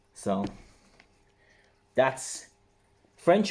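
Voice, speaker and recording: The speaker is a man. He talks in an Irish accent. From Ireland, Waterford. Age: 30s. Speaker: online reseller vlogger. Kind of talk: casual vlog tutorial.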